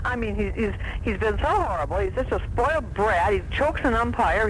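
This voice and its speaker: Very fast speech over noticeable background noise. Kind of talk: talk radio call-in or host discussion.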